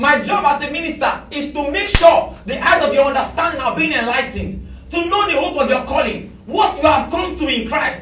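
This man's voice sits extremely high, with an animated tone and a fairly quick pace. He hardly pauses, and there is noticeable background noise. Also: ordinary pitch variation. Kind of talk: sermon; fervent prayer and commanding deliverance, in a sermon. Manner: loud, fervent, declaring and commanding, with repeated Amens; animated, preacherly, repeating phrases for emphasis.

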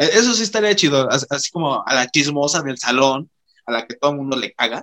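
In a dry, close recording with no echo, a man with a fairly high pitch and a bright, sharp tone speaks at a moderate pace with lively intonation. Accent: Mexican. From Mexico. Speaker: podcast host. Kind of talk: casual chat.

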